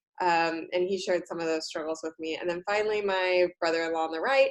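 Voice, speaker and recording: In an American accent, a woman talks at a medium pitch with ordinary pitch variation in a plain, everyday voice. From United States. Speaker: career coach and college instructor. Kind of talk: talk to university students.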